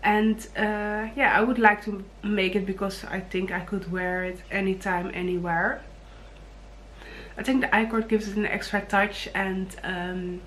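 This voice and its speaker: A woman speaks in a Dutch accent at a fairly slow pace, her intonation monotone and flat. Audible room echo surrounds her voice. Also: medium pitch for a woman. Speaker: knitting vlogger. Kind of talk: casual vlog talk. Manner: hesitant, many fillers; low energy.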